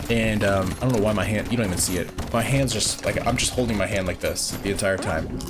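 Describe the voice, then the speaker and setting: With music in the background and audible room echo, a man speaks at a very fast pace and fairly low pitch, with very even loudness, fairly even intonation and hardly any pauses. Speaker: gaming youtuber. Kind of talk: gameplay commentary. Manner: casual, filler-heavy.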